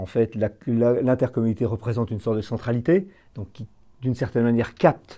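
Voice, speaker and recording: A man speaks at a medium pitch with a dark, mellow tone. The recording is very clean with a silent background. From northeastern France. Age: 60s. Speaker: village mayor. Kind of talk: interview testimony. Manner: hesitant, frequent fillers.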